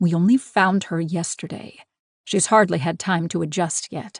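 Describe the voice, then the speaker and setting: Over a quiet background, a put-on, growling character voice comes through at a moderate pace and middle pitch. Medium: read story. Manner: gruff, commanding.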